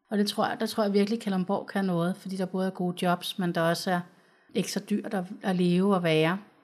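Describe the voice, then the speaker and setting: In a very clean recording with a silent background, a woman of medium pitch speaks at a fairly quick pace with monotone, flat intonation. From Copenhagen, Denmark. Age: 30s. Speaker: social worker. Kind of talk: interview. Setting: studio.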